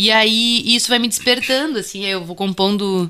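In a gaúcho accent, the voice has a bright, sharp tone and fairly even intonation at a moderate pace. The recording is very clean, with a silent background. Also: woman. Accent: Bagé (gaúcho). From Bagé, Rio Grande do Sul, southern Brazil. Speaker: musician and music researcher. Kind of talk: interview.

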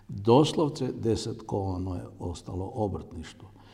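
A man's somewhat breathy voice, dark and mellow in tone, with audible room echo. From Croatia, Zagorje region. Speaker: entrepreneur and company founder. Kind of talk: interview. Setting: on location at company site. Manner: halting.

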